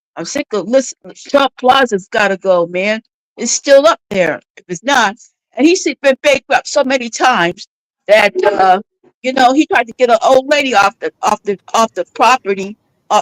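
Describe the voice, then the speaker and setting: In a dry, close sound with no echo, a woman with an animated tone talks at a moderate pace and a high pitch, using very wide pitch swings and big swings in loudness. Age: 60s. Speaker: caller on a live stream. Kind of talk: casual chat.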